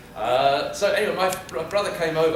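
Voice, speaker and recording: Audible room echo, noticeable background noise, and a man talking fairly quickly. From United Kingdom. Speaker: public speaker. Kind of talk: humorous keynote speech. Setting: stage with audience.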